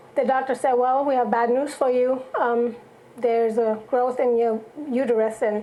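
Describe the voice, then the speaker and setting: Over noticeable background noise, a woman with a slight German accent speaks at a high pitch and moderate pace, in a monotone, flat intonation with very even loudness. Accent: slight German accent, barely noticeable. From Germany. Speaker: songwriter and church singer. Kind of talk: testimony.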